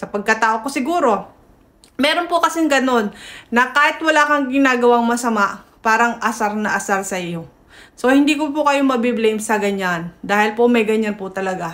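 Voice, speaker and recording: Pitched fairly high, a woman speaks at a moderate pace with lively intonation. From Philippines, provincial. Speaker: news vlogger. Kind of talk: casual news commentary. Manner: loud. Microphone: no microphone.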